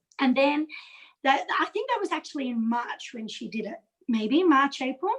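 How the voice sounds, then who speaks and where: A woman speaks with a high pitch. She has an Australian accent. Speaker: direct sales consultant. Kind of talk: video call interview. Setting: video call.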